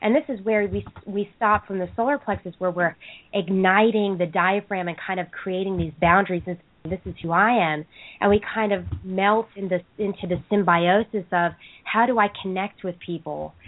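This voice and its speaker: Medium in pitch, a woman speaks at a moderate pace with fairly even intonation in an ordinary speaking voice. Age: 20s. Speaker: caller. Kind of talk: casual chat. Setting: international phone call.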